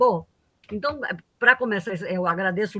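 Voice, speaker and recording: A woman speaks in a northeastern Brazilian accent with a bright, sharp tone. The recording is very clean and the background silent. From Paraíba, Northeast Brazil. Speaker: economics professor. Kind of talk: lecture. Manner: halting, many fillers.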